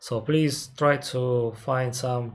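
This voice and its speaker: Speaking with a Russian accent, a man's medium-pitched, somewhat breathy voice holds fairly even intonation. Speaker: airline captain and aviation streamer. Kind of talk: live Q&A stream. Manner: halting, many fillers.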